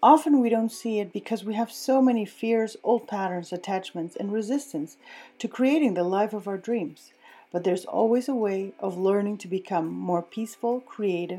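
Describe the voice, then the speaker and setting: Her tone is dark and mellow. The woman talks at a moderate pace and a medium pitch. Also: ordinary pitch variation. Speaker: podcast host. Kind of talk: interview, casual chat.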